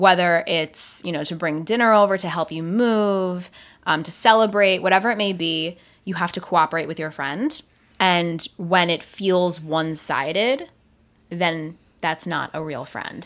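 A woman with an unremarkable speaking voice talks at a fairly slow pace in a fairly low pitch, with ordinary pitch variation and big swings in loudness. The recording is very clean, with a silent background. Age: 20s. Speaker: podcast host and radio presenter. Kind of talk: casual chat, banter with partner. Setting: home, recording with a microphone.

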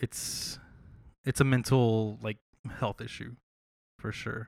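A man with an American accent speaks at a medium pitch in a monotone, flat intonation. His very slow pace has long, frequent pauses, and the sound is dry and close with no echo. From Texas, San Marcos. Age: 20s. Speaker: tech engineer. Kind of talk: casual chat.

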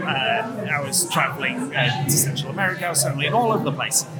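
With music in the background and audible room echo, a man talks at a very fast pace with lively intonation and hardly any pauses. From northern England, Leeds. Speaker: coffee judge and barista trainer. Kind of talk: interview. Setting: noisy coffee shop at a barista competition.

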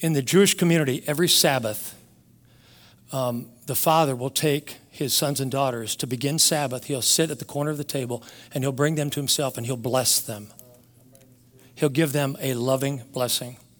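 A man with fairly high pitch talks at a moderate pace in a plain, everyday voice, on a very clean recording with a silent background. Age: 60s. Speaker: pastor. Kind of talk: sermon.

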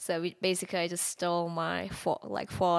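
A woman with a Mongolian accent talks at a moderate pace. Her pitch is fairly low, and the recording is very clean with a silent background. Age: 30s. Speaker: art nude model. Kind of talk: casual interview chat.

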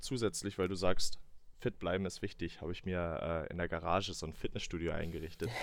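Fairly even intonation from a man with a very deep, low pitch, at a fairly quick pace. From northern Saxony-Anhalt, Salzwedel. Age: 20s. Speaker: podcast co-host, marketing employee. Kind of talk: casual chat. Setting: remote recording from home.

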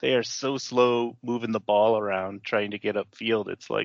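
At a moderate pace, a normal speaking voice delivers its words with fairly even intonation. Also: man. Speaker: podcast co-host. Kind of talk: casual chat.

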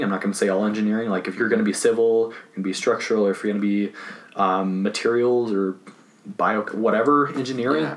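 Against noticeable background noise, a man talks at a very fast pace in a fairly low pitch, with ordinary pitch variation. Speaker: guest, college student and developer. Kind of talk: casual conversation.

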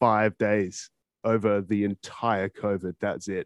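A man speaks with an Australian accent. The sound is dry and close with no echo, over a quiet background. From Perth, Australia. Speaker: podcast host. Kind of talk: casual interview chat. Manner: casual, laid-back, filler words.

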